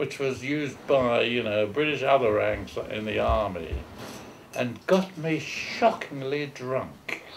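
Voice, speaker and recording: A man speaks in a fairly high voice with a London accent. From England, London East End. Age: 80s+. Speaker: war veteran. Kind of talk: oral history interview. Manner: halting.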